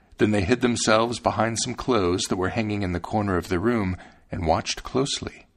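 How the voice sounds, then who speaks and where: Talking at a fairly quick pace, a man uses an ordinary speaking voice with fairly low pitch and ordinary pitch variation. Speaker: podcast host reading fairy tales aloud. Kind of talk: scripted fairy-tale narration, storybook reading aloud. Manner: measured, storyteller's pace, gently expressive.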